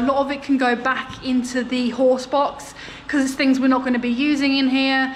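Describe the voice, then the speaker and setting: A woman speaks in a high, flat monotone over light background noise. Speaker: renovation vlogger. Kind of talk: casual vlog chat. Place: empty room. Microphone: phone near.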